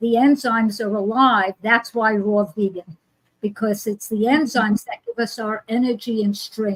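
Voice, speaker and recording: Recorded with a dry, close sound with no echo, a woman with an American accent speaks at a moderate pace with a fairly high, somewhat breathy voice and fairly even intonation. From New York. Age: 80s. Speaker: author and wellness teacher. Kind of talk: casual interview chat.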